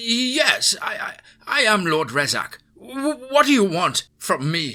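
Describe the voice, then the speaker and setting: Using a put-on character voice, a man speaks at an extremely high pitch and a fairly slow pace. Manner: begging, pleading.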